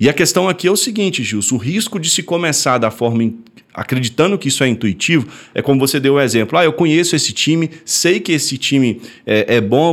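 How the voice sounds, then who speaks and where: Using lively intonation, a man talks at a very fast pace. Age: 30s. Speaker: sports trading educator. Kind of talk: podcast explainer.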